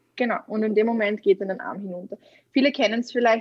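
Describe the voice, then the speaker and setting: With a normal speaking voice, a woman speaks at medium pitch with ordinary pitch variation, the sound dry and close with no echo. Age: 20s. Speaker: kinesiologist and mental trainer. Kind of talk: casual interview.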